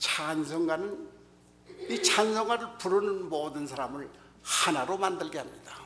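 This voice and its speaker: Very slow, lively-toned speech amid noticeable background noise and audible room echo. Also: man. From North Korea, North Pyongan province. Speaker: pastor. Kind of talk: sermon.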